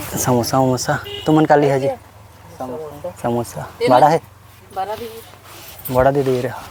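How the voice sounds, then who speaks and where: Music plays in the background as a man speaks with a fairly high pitch and ordinary pitch variation. He leaves long, frequent pauses. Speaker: village vlogger. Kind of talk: casual vlog talk to camera.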